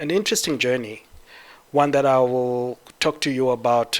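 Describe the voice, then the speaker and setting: This is a man with a Zimbabwean accent. He talks at a moderate pace. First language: Shona. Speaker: 3D artist. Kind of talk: conference talk.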